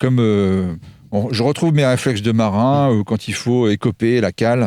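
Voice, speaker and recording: Fairly low in pitch, this man's voice has a dark, mellow tone. The recording is very clean, with a silent background. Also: dry, close sound with no echo. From Normandy, France. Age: 50s. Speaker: restaurant chef. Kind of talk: radio interview.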